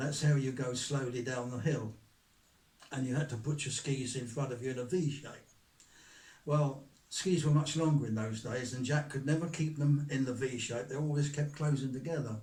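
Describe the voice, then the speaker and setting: A man's fairly high, somewhat breathy voice with a dark, mellow tone, fairly even intonation, and a moderate pace. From England. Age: 80s+. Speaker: author. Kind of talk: interview answer.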